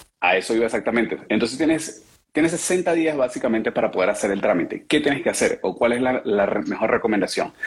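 A man with a medium pitch talks at a very fast pace, barely pausing. His intonation is lively while his loudness stays very even. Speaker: car salesman. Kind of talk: casual chat. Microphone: far from the mic.

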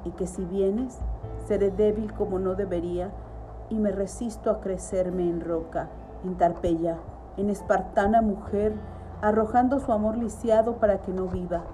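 A woman at medium pitch speaks at a fairly slow pace with fairly even intonation, with noticeable background noise behind her. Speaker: poetry reader. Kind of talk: poem read aloud, intimate and sensual. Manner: slow, lyrical, tender, rhythmic with emphatic repetition.

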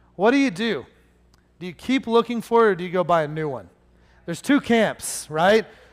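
A man with a high voice talks at a fairly quick pace, his intonation lively and his loudness swinging a great deal. He leaves long, frequent pauses, and the recording is very clean with a silent background. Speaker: preacher. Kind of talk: sermon. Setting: church with congregation. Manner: getting louder, animated.

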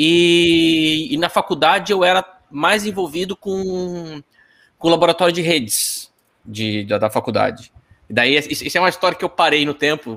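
Speaking at a moderate pace, this man has a high pitch. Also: lively intonation. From Paraná, Brazil (Apucarana). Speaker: software engineer. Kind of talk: casual interview. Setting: live stream. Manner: repeats words often.

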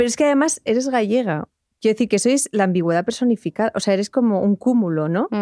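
A woman talks at a very fast pace with a fairly high pitch, a dark, mellow tone, lively intonation and very even loudness. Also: dry, close sound with no echo. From Basque Country, Spain. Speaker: podcast host. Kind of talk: casual chat. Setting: studio.

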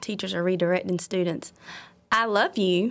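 A woman in a Southern US accent, medium in pitch, with ordinary pitch variation. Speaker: elementary school principal. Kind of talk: casual interview.

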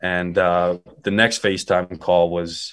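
Talking at a fairly slow pace, a man with a Western Canadian accent has a very deep, low pitch. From Calgary, Alberta. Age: 20s. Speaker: rapper and music producer. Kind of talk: casual interview. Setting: in his bedroom, remote call.

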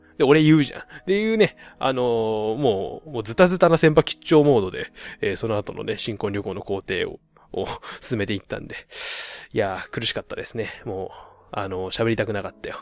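A man with a plain, everyday voice speaks at a fairly quick pace and medium pitch, with lively intonation. The recording is very clean, with a silent background. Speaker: podcast host. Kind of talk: casual solo monologue.

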